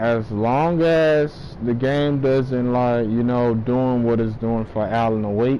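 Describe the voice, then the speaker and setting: A man's medium-pitched voice at a very slow pace with hardly any pauses and fairly even intonation, with audible room echo and noticeable background noise. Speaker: gaming streamer. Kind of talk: live gameplay stream chat.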